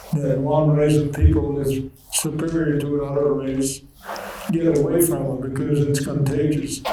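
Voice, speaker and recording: There is audible room echo and noticeable background noise. A man speaks at a fairly high pitch in a flat monotone. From Netherlands. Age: 90s. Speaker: Holocaust survivor speaker. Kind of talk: testimony. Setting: school assembly with students.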